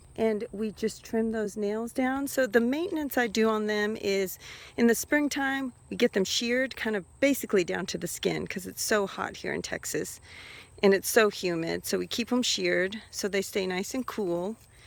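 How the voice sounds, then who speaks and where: In a normal speaking voice, someone talks at a moderate pace with ordinary pitch variation, on a very clean recording with a silent background. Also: woman, fairly high pitch for a woman. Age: 50s. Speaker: hobby farmer. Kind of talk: casual talk to camera.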